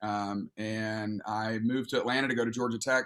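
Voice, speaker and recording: With a Southern US accent, a man speaks in a bright, sharp tone with monotone, flat intonation. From Alabama. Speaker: pastor. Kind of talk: casual chat.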